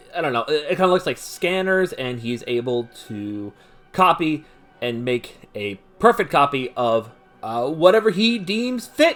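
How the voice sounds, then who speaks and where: With music in the background, a man with an American accent speaks fairly slowly at a fairly high pitch, his voice making very wide pitch swings. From US, Baltimore. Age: 20s. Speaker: podcast host. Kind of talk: casual commentary. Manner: halting, many fillers; animated.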